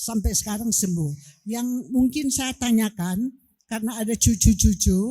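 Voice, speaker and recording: A woman's fairly high, somewhat breathy voice with a dark, mellow tone and lively intonation, at a very slow pace, on a very clean recording with a silent background. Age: 70s. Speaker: audience member asking a question. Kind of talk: audience question.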